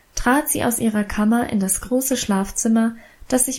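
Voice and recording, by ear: The speaker reads aloud in a natural voice.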